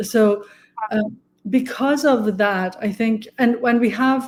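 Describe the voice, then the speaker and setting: A woman speaks at a fairly slow pace in a fairly high pitch. Her tone is dark and mellow, with fairly even intonation. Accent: Persian. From Iran. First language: Persian. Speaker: architecture researcher. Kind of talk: interview.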